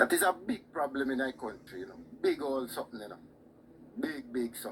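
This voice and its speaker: With a Jamaican accent, a man talks very fast at a fairly high pitch, his loudness swinging widely and his pitch varying in an ordinary way. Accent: Jamaican Patois-inflected. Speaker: caller on live show. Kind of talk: heated debate. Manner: repetitive, insistent.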